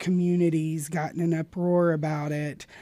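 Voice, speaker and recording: This woman's tone is dark and mellow. She speaks in a monotone with flat intonation. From Arkansas. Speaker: drag performer and pageant titleholder. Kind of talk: casual interview chat.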